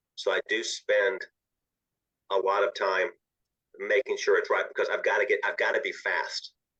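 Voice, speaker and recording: In a raised, projected voice with a Southern US accent, a man with an extremely high pitch and a bright, sharp tone talks at a moderate pace with fairly even intonation and long, frequent pauses, in a dry, close sound with no echo. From US South. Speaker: author. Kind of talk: interview.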